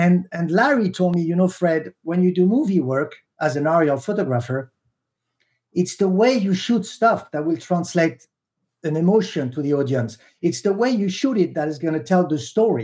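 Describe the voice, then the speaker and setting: A man with a French accent, high in pitch, lively in intonation, at a moderate pace. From Tunisia. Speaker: helicopter pilot. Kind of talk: interview.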